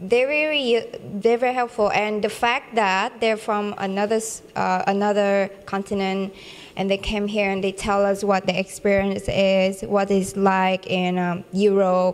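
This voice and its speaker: A woman speaks at medium pitch with a Vietnamese accent. Her intonation is fairly even and her pace moderate. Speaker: international student. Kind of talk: testimonial interview. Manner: halting, many fillers and restarts.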